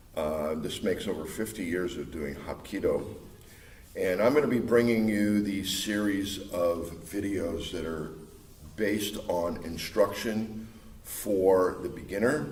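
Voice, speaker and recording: A man with an American accent talks at a fairly slow pace, his fairly low voice showing ordinary pitch variation. Room echo is audible and background noise is noticeable. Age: 60s. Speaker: martial arts instructor. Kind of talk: casual video introduction. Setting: fight club gym. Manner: halting, many filler uhs.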